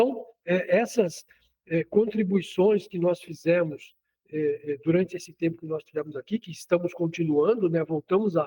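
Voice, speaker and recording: This voice carries a dark, mellow tone. The recording sounds dry and close, without any echo. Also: man, high pitch for a man, ordinary pitch variation, moderate pace. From Ceará, Brazil. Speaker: agronomist, soil scientist. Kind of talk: radio interview. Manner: halting, many fillers.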